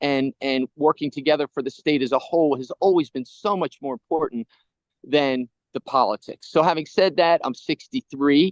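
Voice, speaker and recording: In an ordinary speaking voice, a man talks at a moderate pace with a fairly high pitch and ordinary pitch variation, the sound dry and close with no echo. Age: 60s. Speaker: politician. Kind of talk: interview.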